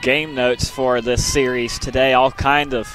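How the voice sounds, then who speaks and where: A man speaks with music playing in the background. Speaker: sports play-by-play announcer. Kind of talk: live sports commentary, play-by-play. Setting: softball field broadcast.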